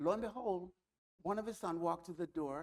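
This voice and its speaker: A man's high-pitched voice at a moderate pace. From Jamaica. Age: 80s+. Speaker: community leader, retired educator. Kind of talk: interview.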